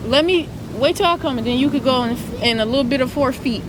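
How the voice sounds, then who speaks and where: Over noticeable background noise, a woman speaks at a very fast pace with a high pitch. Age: 20s. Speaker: YouTuber. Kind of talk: casual chat. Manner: casual, chatty.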